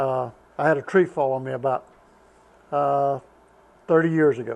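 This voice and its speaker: A man with a Southern US accent, fairly high in pitch, at a moderate pace with fairly even intonation. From US South, North Carolina. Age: 70s. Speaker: retired truck driver. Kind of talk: casual chat.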